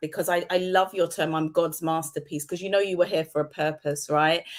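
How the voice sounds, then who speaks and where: The very clean recording, with a silent background, captures a woman speaking at a fairly low pitch in a British accent. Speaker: talk show host. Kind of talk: interview.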